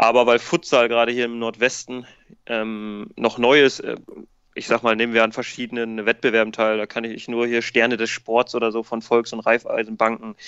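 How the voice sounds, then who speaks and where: A man's voice sits at a medium pitch. He talks at a moderate speed with flat, monotone intonation. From northern Germany, Ammerland (Lower Saxony). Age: 20s. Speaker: amateur futsal club founder and coach. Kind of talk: podcast interview.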